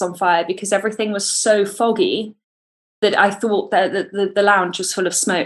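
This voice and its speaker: A woman with a British accent speaks at a medium pitch and moderate pace, keeping her intonation fairly even. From Britain. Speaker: former athlete. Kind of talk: testimony. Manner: halting, many repetitions.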